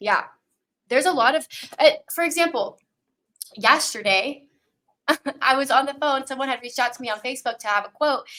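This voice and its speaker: Using a raised, projected voice with a bright, sharp tone, a high-pitched woman talks at a fairly quick pace with long, frequent pauses and ordinary pitch variation. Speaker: podcast host. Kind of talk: casual interview chat.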